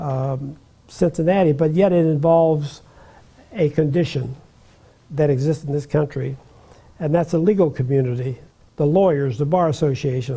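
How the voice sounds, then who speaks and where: A man with a fairly high, dark, mellow voice speaks at a moderate pace with ordinary pitch variation. His delivery is somewhat breathy, with long, frequent pauses. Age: 90s. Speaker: retired judge. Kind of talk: interview, personal recollection. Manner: halting, many fillers and repetitions.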